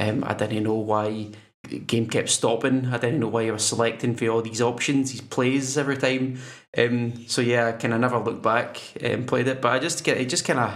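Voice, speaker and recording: A man with a Scottish accent speaks at a moderate pace, his medium-pitched voice keeping a fairly even intonation. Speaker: podcast co-host. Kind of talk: casual chat.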